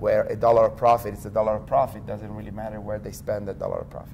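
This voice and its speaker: With an Italian accent, a man is talking. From Italy. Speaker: tech company executive. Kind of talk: interview.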